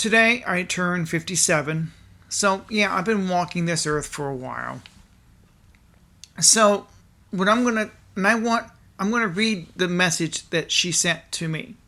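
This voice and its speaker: In a raspy put-on character voice of middle pitch, the speaker keeps a moderate pace broken by long, frequent pauses. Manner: stuttering, halting.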